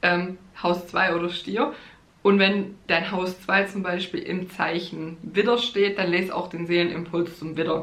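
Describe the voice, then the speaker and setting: Someone talks at a fairly slow pace with fairly even intonation. There is noticeable background noise. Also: woman, fairly low pitch for a woman. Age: 30s. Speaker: astrologer and podcast host. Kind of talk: solo podcast monologue, teaching astrology; promotional pitch for own course. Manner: casual with frequent fillers and laughs.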